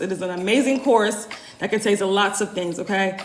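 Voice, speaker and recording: Mid-range female voice, some room echo, and clear background noise. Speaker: holistic womb health coach. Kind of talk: live stream Q&A. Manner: fast; casual, conversational.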